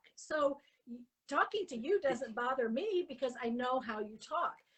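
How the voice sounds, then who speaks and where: Raising and projecting her voice, a woman speaks at a moderate pace with lively intonation. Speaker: stroke camp organizer, interviewer. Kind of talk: interview.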